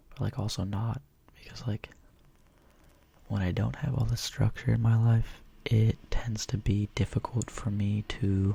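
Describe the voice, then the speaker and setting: Whispering and soft-spoken, a man talks at a fairly slow pace in a somewhat breathy voice, with long, frequent pauses. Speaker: ASMR creator. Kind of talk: ASMR Q&A. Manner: soft-spoken, whispered.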